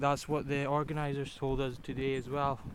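Here a man of medium pitch speaks with a Scottish accent at a moderate pace. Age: 20s. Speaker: volunteer walker. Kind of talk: casual interview. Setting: outdoors on a forest walk.

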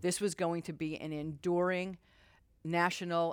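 At a moderate pace, a woman with an American accent speaks in a monotone, flat intonation on a very clean recording with a silent background. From Utah. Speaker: civil rights lawyer. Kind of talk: live interview. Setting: stage with audience.

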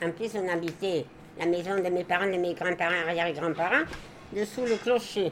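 Noticeable background noise runs behind a woman speaking at a fairly low pitch. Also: ordinary pitch variation, moderate pace. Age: 80s. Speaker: retired village grocer, elderly resident. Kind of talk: interview with children, reminiscing.

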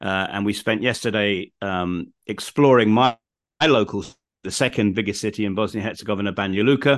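Against a quiet background, a man with a southern English accent talks fairly quickly. His voice is fairly low, with ordinary pitch variation. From England, home counties. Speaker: podcast host, guest expert. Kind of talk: casual interview.

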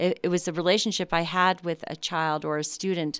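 This woman has an unremarkable speaking voice with an American accent, fairly low pitch and fairly even intonation at a moderate pace. The recording is very clean, with a silent background. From US Midwest, Chicago. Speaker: psychology professor. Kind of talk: interview. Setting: studio.

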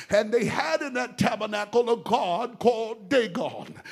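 Music plays behind a man with a high pitch and an American accent who speaks in an animated tone. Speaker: preacher. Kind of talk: sermon, call-and-response with the congregation. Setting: church with congregation. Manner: animated, exhorting, rousing, with crowd-engaging prompts.

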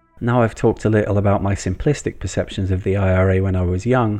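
In a West Country accent, a man with a fairly low pitch and a dark, mellow tone talks very fast with fairly even intonation against a quiet background. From Bristol, England. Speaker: podcast host. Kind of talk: scripted narration.

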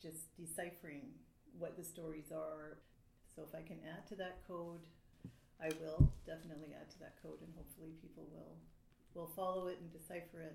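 In a Canadian accent, a woman talks fairly quickly with a dark, mellow tone, fairly low pitch, vocal fry and monotone, flat intonation. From Canada. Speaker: writer. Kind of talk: panel discussion.

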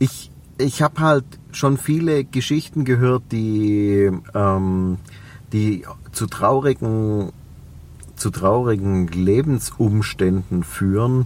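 In a Swabian accent, a man with a fairly low voice talks very slowly with long, frequent pauses, lively intonation and very even loudness. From Swabia, Reutlingen. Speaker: entrepreneur and personal development coach. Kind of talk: interview.

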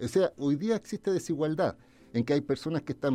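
Music plays in the background as a man with a fairly high pitch and ordinary pitch variation talks at a very fast pace. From Chile, Viña del Mar area. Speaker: lawyer and political candidate. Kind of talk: radio interview.

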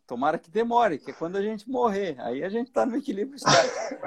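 A man talks with very wide swings in pitch. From southern Brazil, Santa Catarina. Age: 60s. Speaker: financial educator and author. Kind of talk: interview. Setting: live video stream.

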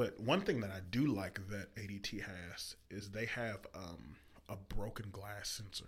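A man talks at a fairly slow pace, somewhat breathy, with fairly even intonation and big swings in loudness. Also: fairly low pitch for a man. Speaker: podcast host. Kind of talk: casual chat.

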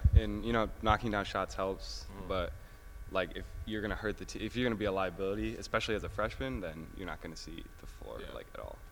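A man with an American accent at a very fast pace, with big swings in loudness. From upstate New York (Albany area). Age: young. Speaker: college basketball player. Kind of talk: casual interview. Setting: in a car.

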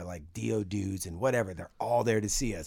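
In a plain, everyday voice, a man speaks at a fairly quick pace with a fairly low pitch and ordinary pitch variation. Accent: American. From US West Coast, San Francisco Bay Area. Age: 50s. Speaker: bass player. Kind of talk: casual interview.

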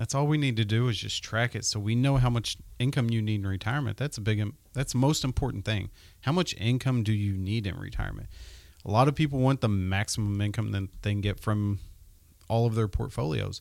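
Plain, everyday male voice at a fairly quick pace with ordinary pitch variation, on a very clean recording with a silent background. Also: medium pitch for a man. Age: 30s. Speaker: financial advisor, podcast co-host. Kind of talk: casual chat.

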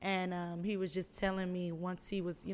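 Speaking at a fairly quick pace, a woman has a medium pitch and an ordinary speaking voice. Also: very clean recording, silent background. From Houston, Texas. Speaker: influencer and modeling agency owner. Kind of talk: casual chat.

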